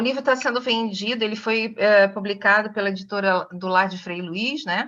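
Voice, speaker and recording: A woman with a fairly high pitch, ordinary pitch variation and a bright, sharp tone. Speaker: nutritionist and author. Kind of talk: online talk to a study group. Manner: fast.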